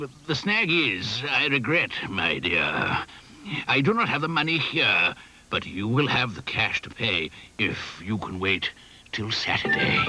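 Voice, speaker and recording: Cartoonish character voice from a man, medium in pitch with very wide swings, at a fairly slow pace over clear background noise. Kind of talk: puppet show character dialogue in rhyme.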